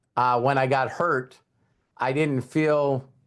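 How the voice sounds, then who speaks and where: The background is quiet as a man with an unremarkable speaking voice talks at a fairly slow pace. His pitch is medium and his intonation fairly even. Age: 60s. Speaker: network marketing trainer. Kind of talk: motivational training talk.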